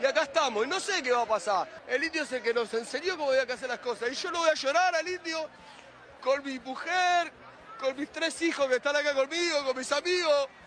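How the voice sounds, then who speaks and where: There is crowd noise in the background. A man talks at a fairly quick pace with an extremely high pitch. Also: ordinary pitch variation. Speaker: political activist at a street vigil. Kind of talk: emotional street interview. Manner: impassioned.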